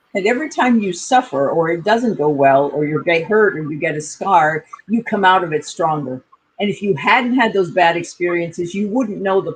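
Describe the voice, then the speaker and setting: A woman with an American accent has an ordinary speaking voice, a fairly low pitch, lively intonation and a moderate pace. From United States. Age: 60s. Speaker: communication coach. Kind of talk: interview.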